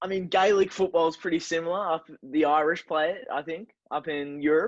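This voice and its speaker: In an Australian accent, a man talks at a fairly quick pace with a high pitch and ordinary pitch variation. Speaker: podcast co-host. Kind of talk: casual chat. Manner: slurring words.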